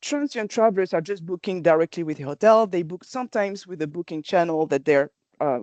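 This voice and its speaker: Lively intonation at a fairly quick pace in a French accent, with a dry, close sound, no echo and a quiet background. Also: woman. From France. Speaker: company presenter. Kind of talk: webinar presentation. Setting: online webinar. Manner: hesitant, with fillers and restarts.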